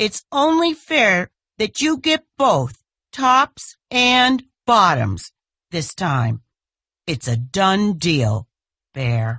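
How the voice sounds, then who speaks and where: In a put-on character voice, a female-sounding speaker with a middle pitch talks very slowly, swinging widely in pitch and leaving long, frequent pauses. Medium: read story. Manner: smooth, persuasive.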